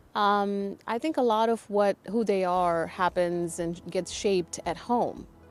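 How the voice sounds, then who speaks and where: A woman's medium-pitched voice at a fairly slow pace with ordinary pitch variation and hardly any pauses, with music in the background. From southern India. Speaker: interview host, tech executive. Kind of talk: interview.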